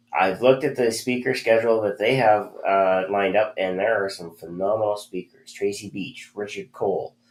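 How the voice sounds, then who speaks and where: Someone with a Canadian accent speaks at a moderate pace with ordinary pitch variation on a very clean recording with a silent background. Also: man. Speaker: hypnosis news show host. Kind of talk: news roundup. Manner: many filler words, halting.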